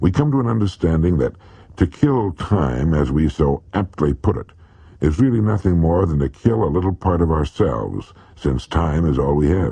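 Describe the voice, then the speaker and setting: This man has a very deep, low pitch and lively intonation. He keeps a moderate pace. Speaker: motivational radio speaker. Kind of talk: motivational speech, addressing listener directly.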